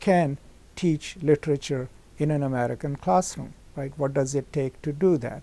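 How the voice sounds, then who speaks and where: A man with a Pakistani accent, fairly high-pitched with a dark, mellow tone, ordinary pitch variation and a moderate pace. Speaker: professor. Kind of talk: interview.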